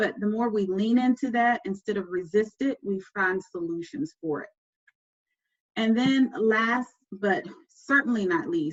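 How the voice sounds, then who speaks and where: A woman's fairly high, somewhat breathy voice at a fairly slow pace, with lively intonation. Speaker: educator and webinar host. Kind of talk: virtual workshop hosting. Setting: video call.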